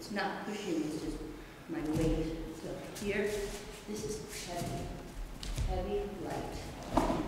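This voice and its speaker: Very slow speech comes through loud background noise and audible room echo. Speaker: martial arts instructor. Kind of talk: tutorial. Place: hall. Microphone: camera far.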